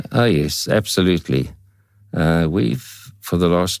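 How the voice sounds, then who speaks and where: Vocal fry marks this man's very deep, low voice, which shows ordinary pitch variation. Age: 70s. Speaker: veteran motorcyclist. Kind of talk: podcast interview. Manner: halting.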